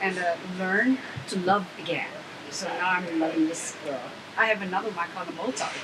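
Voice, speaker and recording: Amid noticeable background noise, a woman with a Chinese accent speaks with ordinary pitch variation. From China. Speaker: animal rights activist and violinist. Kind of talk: interview. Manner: halting.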